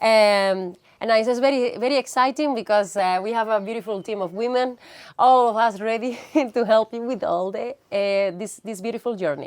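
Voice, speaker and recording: In an Andalusian accent, a woman with a fairly high pitch speaks at a moderate pace with ordinary pitch variation on a very clean recording with a silent background. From Andalusia, Spain (Granada). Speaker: visa consultant. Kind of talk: casual interview.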